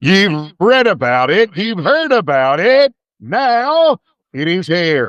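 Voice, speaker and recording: Speaking in a put-on character voice, a man talks at a very slow pace with a high pitch and very wide pitch swings. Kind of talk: hyped ad-copy delivery. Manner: annoying, salesy.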